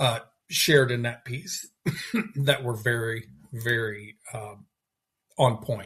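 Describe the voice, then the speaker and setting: A man speaks at a very slow pace, with long, frequent pauses. His voice has a bright, sharp tone at medium pitch, and his intonation stays fairly even. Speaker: poetry podcast co-host. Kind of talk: casual discussion of poems. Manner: halting, many restarts.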